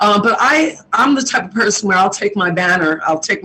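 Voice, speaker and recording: A woman speaks in a New York accent. Her pace is moderate. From New York City (Queens). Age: 60s. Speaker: community activist. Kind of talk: interview.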